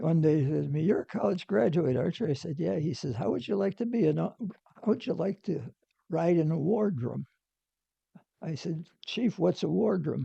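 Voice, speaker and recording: The voice has a dark, mellow tone with vocal fry and moves at a moderate pace. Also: man, fairly high pitch for a man. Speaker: navy veteran. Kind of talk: interview answer.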